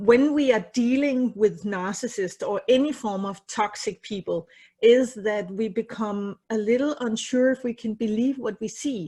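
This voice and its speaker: A woman with a non-native accent, somewhat breathy, at a fairly slow pace. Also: quiet background. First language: not English. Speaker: psychotherapist. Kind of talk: casual chat. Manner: halting.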